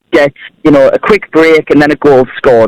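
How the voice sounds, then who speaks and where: A man's voice comes across in a dry, close sound with no echo, at a moderate pace. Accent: Sunderland. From Sunderland, north-east England. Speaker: caller. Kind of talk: phone-in call.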